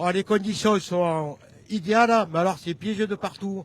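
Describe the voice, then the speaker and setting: This man's voice sits high. He takes his time, speaking rather slowly. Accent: slight southern French. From France, Gard. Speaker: rally driver. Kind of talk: post-stage interview.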